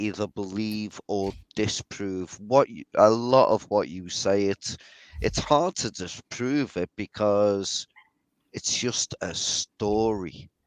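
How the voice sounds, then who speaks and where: In a Liverpool accent, a man speaks very slowly with ordinary pitch variation over a quiet background. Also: dry, close sound with no echo. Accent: Scouse. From northern England, Liverpool. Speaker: skeptic co-panelist. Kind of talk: casual chat.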